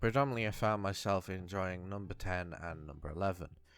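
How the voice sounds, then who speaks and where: A man with a British accent and a very deep, low pitch, at a fairly quick pace with ordinary pitch variation, on a very clean recording with a silent background. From UK. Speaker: video essayist. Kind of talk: video essay.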